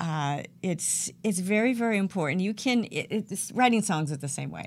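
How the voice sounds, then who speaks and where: A woman with an American accent has a normal speaking voice. Her medium pitch carries lively intonation. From US South, Georgia. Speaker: professional speaker and music artist. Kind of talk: interview. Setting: online radio show.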